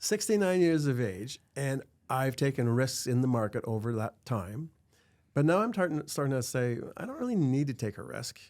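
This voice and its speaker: Heard in a very clean recording with a silent background, a plain, everyday voice moves at a moderate pace with lively intonation. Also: man, medium pitch for a man. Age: 60s. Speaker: financial advisor. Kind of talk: interview.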